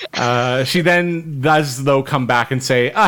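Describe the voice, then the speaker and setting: A man's plain, everyday voice with lively intonation. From Canada, Winnipeg. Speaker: podcast host. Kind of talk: casual chat.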